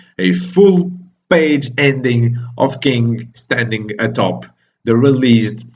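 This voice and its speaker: Lively intonation from a man with a medium-pitched, somewhat breathy voice. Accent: non-native. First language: not English. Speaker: manga reviewer, YouTuber. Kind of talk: casual video review monologue.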